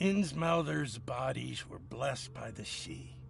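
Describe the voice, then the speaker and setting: A man performs a put-on character voice at a fairly slow pace. Clear background noise can be heard. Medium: video game. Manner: bitter, defensive.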